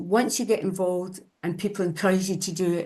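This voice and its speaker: This is an ordinary speaking voice. The background is quiet. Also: woman. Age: 60s. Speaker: Nordic walking instructor living with Parkinson's. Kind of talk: webinar presentation.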